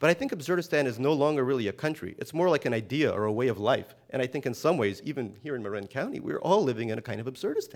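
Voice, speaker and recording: A man with an American accent talks at a very fast pace in a medium pitch, with lively intonation and hardly any pauses. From US, emigrated from Soviet Union at seven. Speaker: novelist. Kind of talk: interview. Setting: stage with live audience.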